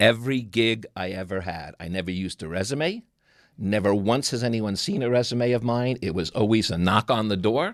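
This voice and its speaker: Recorded very cleanly against a silent background, a man speaks at a moderate pace with a fairly low pitch and ordinary pitch variation. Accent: New York. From New York. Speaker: TV producer and interviewer. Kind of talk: casual chat.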